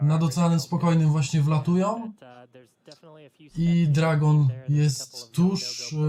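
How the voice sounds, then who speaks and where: With a Polish accent, a man talks at a fairly high pitch and a fairly slow pace, using ordinary pitch variation, very even loudness and long, frequent pauses. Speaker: streamer. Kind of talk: casual chat.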